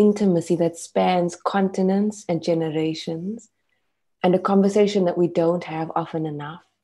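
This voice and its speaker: Intonation is fairly even. The voice has a dark, mellow tone. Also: woman, quiet background. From South Africa. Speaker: poet. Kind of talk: interview. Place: home room. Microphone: earbuds.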